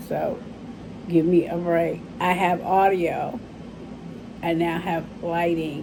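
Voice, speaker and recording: A woman speaks very slowly in a monotone, flat intonation, with long, frequent pauses. Room echo is audible. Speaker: beauty vlogger. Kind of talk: makeup tutorial. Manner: casual, chatty.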